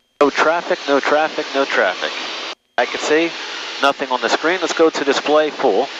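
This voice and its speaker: A man's fairly high voice at a moderate pace, with ordinary pitch variation, a dry sound with no echo, and noticeable background noise. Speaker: private pilot and aviation video creator. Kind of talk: cockpit vlog narration mixed with clipped air traffic radio calls; casual flight commentary. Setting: in a small airplane cockpit, on headset radio. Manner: terse radio phraseology, polite 'sir' to controllers; casual, rambling with frequent 'uh' fillers. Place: plane. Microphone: headset.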